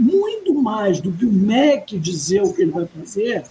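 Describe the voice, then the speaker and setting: A woman's voice with very wide pitch swings. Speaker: education professor. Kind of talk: interview. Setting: video call. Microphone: audio a bit quiet, headset.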